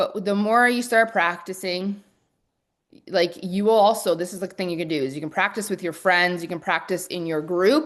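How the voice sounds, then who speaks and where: A woman's animated voice with ordinary pitch variation, over a quiet background. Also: moderate pace. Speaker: online business coach. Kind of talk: live webinar masterclass.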